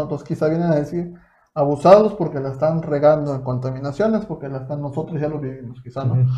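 The man's tone is dark and mellow, pitched fairly high. He talks at a very fast pace. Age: 20s. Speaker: podcast host. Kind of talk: casual chat.

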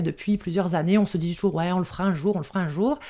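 A woman with a northern French accent is heard on a very clean recording with a silent background. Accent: northern French (ch'ti). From northern France. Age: 30s. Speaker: foster carer and entrepreneur. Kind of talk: interview.

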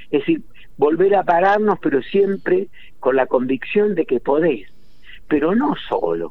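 With a dark, mellow tone and a high voice, a man speaks at a fairly slow pace, his pitch swinging very widely while his loudness stays very even. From Argentina, Entre Ríos countryside. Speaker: historian and writer. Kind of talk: interview.

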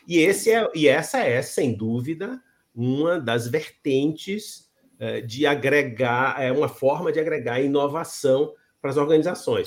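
In an ordinary speaking voice, the speaker goes at a fairly slow pace with ordinary pitch variation. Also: man, fairly high pitch for a man. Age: 60s. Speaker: interview show host. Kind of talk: interview.

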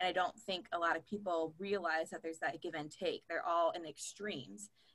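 A woman with a fairly low pitch and ordinary pitch variation talks at a fairly quick pace in an unremarkable speaking voice. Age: 20s. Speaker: college student. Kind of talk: casual chat.

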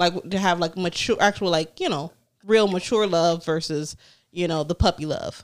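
A woman uses an ordinary speaking voice at a fairly low pitch. Her pace is moderate and her intonation fairly even. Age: 30s. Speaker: podcast co-host. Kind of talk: casual chat.

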